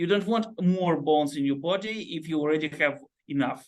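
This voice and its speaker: Fairly high in pitch, a man speaks with a non-native accent. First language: not English. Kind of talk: group discussion. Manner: halting.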